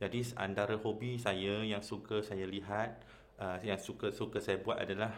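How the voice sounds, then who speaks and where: Over audible room echo, a man with a fairly low voice speaks at a fairly slow pace with fairly even intonation. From Malaysia, Kedah. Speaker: Islamic convert preacher, channel host. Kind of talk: personal testimony talk. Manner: hesitant, many fillers.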